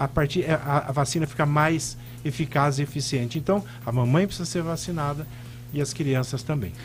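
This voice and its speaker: A man with a fairly high pitch and ordinary pitch variation talks while music plays in the background. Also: moderate pace. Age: 60s. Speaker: pulmonologist. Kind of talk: radio interview.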